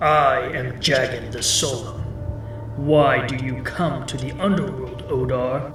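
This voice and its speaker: A man's put-on character voice at medium pitch and a fairly slow pace, with slight echo and loud background noise. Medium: audio drama. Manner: solemn, gruff.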